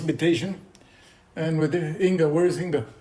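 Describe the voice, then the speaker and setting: A man with a Mexican accent, a fairly high pitch and a dark, mellow tone speaks with audible room echo. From Mexico, Mexico City. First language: Spanish. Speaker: poet and visual artist. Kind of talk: lecture. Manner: halting, with repetitions.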